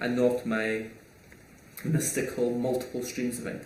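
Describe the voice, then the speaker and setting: Someone with a Scottish accent speaks at a moderate pace amid audible room echo and noticeable background noise. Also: man. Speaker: online entrepreneur and YouTuber. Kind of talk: casual Q&A monologue. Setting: small home room recording.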